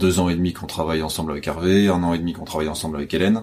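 A man talks with a very deep, low pitch. His intonation stays fairly even. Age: 20s. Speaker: bookseller. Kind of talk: interview. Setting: bookshop after hours. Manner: hesitant, many fillers.

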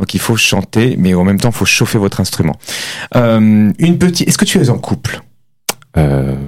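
At a moderate pace, a man with a fairly low pitch talks with very wide pitch swings, very even loudness, and long, frequent pauses. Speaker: radio host and vocal coach. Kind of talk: live radio show hosting, chatty and enthusiastic. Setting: radio studio, live broadcast. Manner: animated, warm, enthusiastic.

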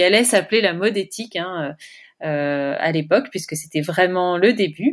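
A woman with an unremarkable speaking voice talks at a moderate pace and medium pitch, on a very clean recording with a silent background. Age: 40s. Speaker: entrepreneur, founder of burnout retreats. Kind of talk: interview conversation.

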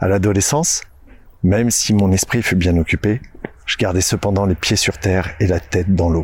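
The speaker sounds somewhat breathy, keeping a moderate pace, very even loudness and fairly even intonation. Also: man, very deep, low pitch for a man. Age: 40s. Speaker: podcast host and nature guide. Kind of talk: scripted narration.

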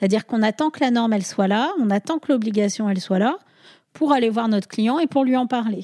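Speaking very fast, a woman with a fairly high pitch and a dark, mellow tone uses ordinary pitch variation, recorded with a dry, close sound and no echo. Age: 40s. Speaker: sustainability consultant, former chartered accountant. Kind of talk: casual interview. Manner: hesitant, many fillers.

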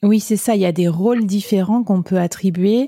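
A woman speaks at a moderate pace in a dark, mellow, somewhat breathy tone. The sound is dry and close with no echo. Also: very clean recording, silent background. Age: 30s. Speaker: podcast host and web3 freelancer. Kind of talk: interview.

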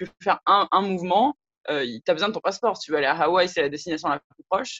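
Very fast and lively, a woman with a fairly low pitch speaks in a dry, close sound with no echo. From French Polynesia. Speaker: interviewee, law graduate. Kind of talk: interview testimony. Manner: hesitant, many fillers.

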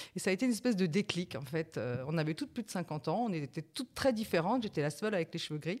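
A woman with a fairly low pitch, very fast pace and lively intonation. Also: very clean recording, silent background. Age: 50s. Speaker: senior model and influencer. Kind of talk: casual chat.

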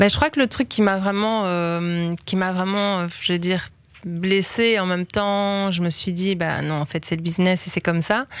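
In an unremarkable speaking voice, a woman talks fairly slowly at a medium pitch with fairly even intonation. The recording is very clean, with a silent background. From Belgium, Liège. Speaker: singer. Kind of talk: interview.

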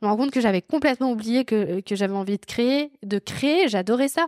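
The sound is dry and close, with no echo. A woman with a fairly high pitch and ordinary pitch variation speaks at a very fast pace. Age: 20s. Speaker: podcast host. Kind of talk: casual chat. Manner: animated.

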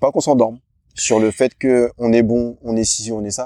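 The tone is dark and mellow, flat and monotone, at a moderate pace. The sound is dry and close with no echo, in a very clean recording over a silent background. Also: man. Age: 40s. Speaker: personal coach and masters athlete. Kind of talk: casual interview.

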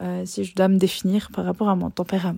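A woman at medium pitch, in a dry, close sound with no echo and a very clean recording with a silent background. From Switzerland. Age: 20s. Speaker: podcast host, teacher and life coach. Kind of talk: solo monologue podcast. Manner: hesitant with many fillers.

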